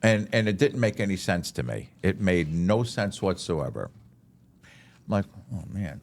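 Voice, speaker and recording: Speaking with vocal fry, a man has a very deep, low pitch. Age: 60s. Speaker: chaplain and pastor. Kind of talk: casual chat. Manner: animated storytelling.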